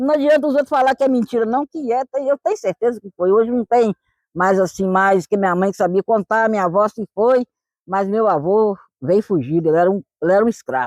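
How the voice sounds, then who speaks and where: A woman with a normal speaking voice talks at a fairly quick pace with lively intonation, in a dry, close sound with no echo. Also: fairly high pitch for a woman. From rural Minas Gerais, Brazil. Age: 50s. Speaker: retired farmer, quilombo resident. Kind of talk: documentary interview testimony.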